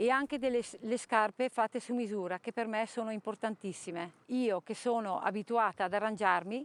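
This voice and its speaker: Her fairly high pitch and fairly even intonation mark a woman's unremarkable speaking voice, heard at a moderate pace with a dry, close sound and no echo. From Trentino, northern Italy. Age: 50s. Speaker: person living with chronic illness. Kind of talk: testimony.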